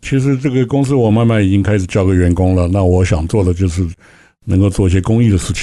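At a very fast pace, a man speaks in a dark, mellow tone at a fairly low pitch. His pitch variation is ordinary and his loudness very even. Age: 60s. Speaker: company chairman. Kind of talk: radio interview.

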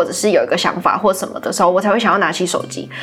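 A woman's animated, medium-pitched voice at a very fast pace. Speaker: university student working in department store marketing. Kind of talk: casual interview. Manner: animated, laughs often.

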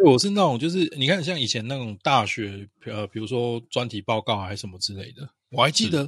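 A man with a normal speaking voice talks at a fairly quick pace with hardly any pauses, lively intonation and big swings in loudness. The recording is very clean, with a silent background and a dry, close sound with no echo. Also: medium pitch for a man. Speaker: podcast co-host. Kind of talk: casual chat.

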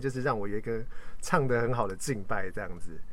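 Lively intonation carries speech delivered at a very fast pace. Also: man. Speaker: worship team member, podcast host. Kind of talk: casual chat about worship ministry. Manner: animated, joking.

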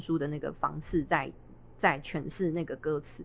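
The speaker is a woman. She talks with a Taiwanese accent. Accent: Taiwanese Mandarin. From Taiwan, Miaoli (Hakka). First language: Hakka (speaking Chinese). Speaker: Hakka singer-songwriter and stage actor. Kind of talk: casual interview. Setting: live event venue.

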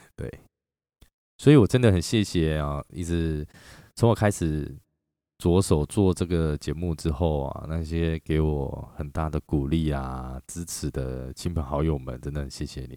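The tone is dark and mellow, with a dry, close sound with no echo in a very clean recording with a silent background. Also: man. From Taiwan (Chiayi). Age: 40s. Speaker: podcast host and performer. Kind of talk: reflective monologue.

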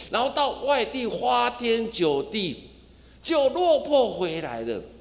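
Through audible room echo comes a man's voice, extremely high in pitch. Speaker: pastor. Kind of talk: sermon. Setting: church.

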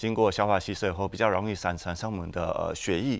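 Captured on a very clean recording with a silent background, a man speaks at a fairly low pitch and a very fast pace. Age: 40s. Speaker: traditional Chinese medicine doctor. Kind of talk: tutorial.

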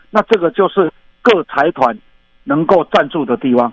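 Recorded with a dry, close sound and no echo, a man with a Taiwanese accent talks at a fairly slow pace with very wide pitch swings. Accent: Taiwanese Mandarin. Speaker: baseball commentator and coach. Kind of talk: interview. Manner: halting.

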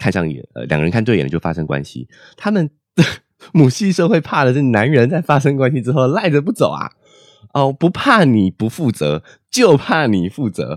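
A man speaks with very wide swings in pitch. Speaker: podcast host. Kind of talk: solo monologue book review. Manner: chatty with many filler particles.

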